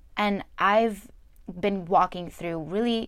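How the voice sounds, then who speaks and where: Heard on a very clean recording with a silent background, a normal speaking voice with an American accent keeps a fairly even intonation. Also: woman. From New Jersey. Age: 20s. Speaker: podcast host. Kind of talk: personal monologue.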